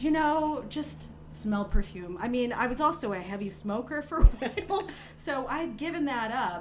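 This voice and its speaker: An animated speaker with very wide pitch swings talks at a moderate pace over noticeable background noise. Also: woman, high pitch for a woman. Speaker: author and perfume critic. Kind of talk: casual interview chat. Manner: soft-spoken.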